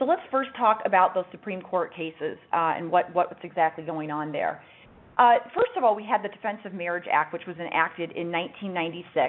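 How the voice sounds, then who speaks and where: Fairly quick speech from a woman with a fairly low pitch, ordinary pitch variation and big swings in loudness, over noticeable background noise. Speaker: lawyer presenting a webinar. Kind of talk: webinar presentation. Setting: webinar. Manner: fast.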